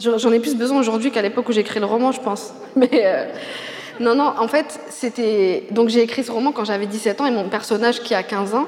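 A woman talks at a moderate pace with a fairly high pitch and ordinary pitch variation. Noticeable background noise is present. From Paris suburbs, France. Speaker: novelist. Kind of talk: literary interview on stage.

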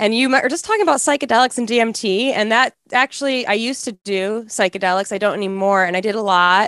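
A woman speaks at a very fast pace with hardly any pauses, her fairly high pitch showing ordinary pitch variation, in a dry, close sound with no echo. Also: very clean recording, silent background. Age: 30s. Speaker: podcast guest, co-host of another podcast. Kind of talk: casual chat.

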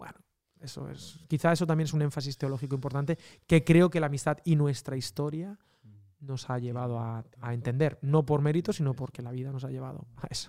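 On a very clean recording with a silent background, a man with a fairly high pitch and a dark, mellow tone speaks at a fairly quick pace with fairly even intonation and big swings in loudness. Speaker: podcast host. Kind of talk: casual chat.

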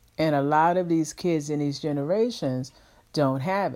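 A woman's very deep, low-pitched voice on a very clean recording with a silent background. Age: 50s. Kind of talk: sermon-like monologue. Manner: halting, many fillers.

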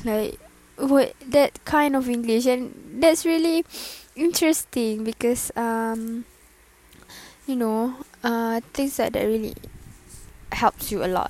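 A high-pitched woman with a Malaysian accent, ordinary pitch variation, a very slow pace and long, frequent pauses. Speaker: podcaster. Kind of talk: casual monologue. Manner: halting.

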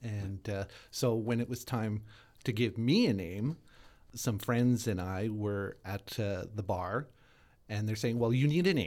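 A plain, everyday voice from a man with a Canadian accent, fairly low in pitch with ordinary pitch variation, at a fairly slow pace, on a very clean recording with a silent background. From Winnipeg, Manitoba, Canada. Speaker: drag performer. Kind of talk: interview.

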